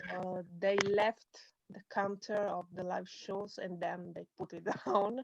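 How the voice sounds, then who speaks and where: Speaking very slowly in an Italian accent, a woman is heard in a dry, close sound with no echo. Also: medium pitch for a woman, fairly even intonation. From Italy. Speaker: music journalist. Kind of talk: interview. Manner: halting. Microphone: laggy connection.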